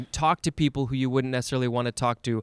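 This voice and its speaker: A man with a medium-pitched voice and an American accent, in a dry, close sound with no echo. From USA. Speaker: podcast host. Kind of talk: casual chat.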